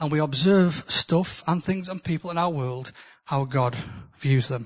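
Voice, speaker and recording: With a northern English accent, a man speaks very slowly, his pitch varying in an ordinary way. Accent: northern English, noticeable. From northern England. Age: 60s. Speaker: preacher. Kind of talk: sermon. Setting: church with live audience.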